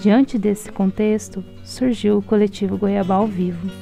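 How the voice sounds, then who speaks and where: With music in the background, a woman talks at a fairly slow pace and medium pitch in a monotone, flat intonation. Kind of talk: documentary narration.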